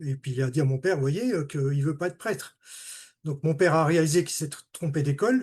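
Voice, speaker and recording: A man speaks at a moderate pace in a fairly high, somewhat breathy voice. The background is quiet. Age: 60s. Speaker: retired automation technician giving testimony. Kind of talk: testimony. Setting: video call. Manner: halting.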